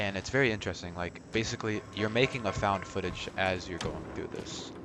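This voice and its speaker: There is noticeable background noise behind this man. His fairly low voice moves at a fairly quick pace with fairly even intonation. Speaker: gaming YouTuber. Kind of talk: let's play commentary.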